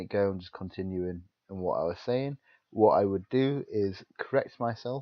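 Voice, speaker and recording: A man keeps ordinary pitch variation while holding a moderate pace. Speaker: podcast co-host. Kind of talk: casual chat.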